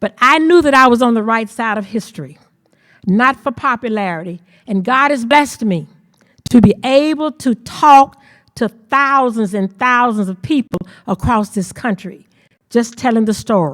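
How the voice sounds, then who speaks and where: A woman with a Mississippi accent speaks at a moderate pace and a fairly high pitch. Her intonation is lively, and the sound is dry and close with no echo. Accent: Southern US (Mississippi). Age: 70s. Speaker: civil rights activist. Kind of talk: storytelling talk. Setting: auditorium with audience.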